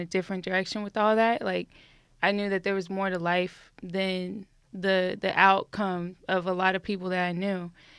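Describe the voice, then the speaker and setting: Over a silent background in a very clean recording, a woman with an American accent talks at a moderate pace and medium pitch, her intonation flat and monotone. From Texas, Houston. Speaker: writer. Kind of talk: podcast interview. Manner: casual, with many fillers.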